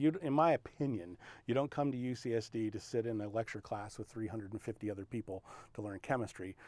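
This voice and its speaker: A man with a normal speaking voice talks at a medium pitch and a fairly quick pace. The recording is very clean with a silent background, and the sound is dry and close with no echo. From San Diego, California (Navy family, moved around). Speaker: analytical chemistry professor. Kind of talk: interview monologue about research.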